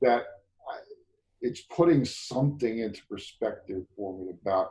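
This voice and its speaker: Talking at a moderate pace, a man lets his loudness swing widely. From US Northeast, Bronx, New York City. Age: 50s. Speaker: men's group facilitator. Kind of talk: casual conversation. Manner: halting.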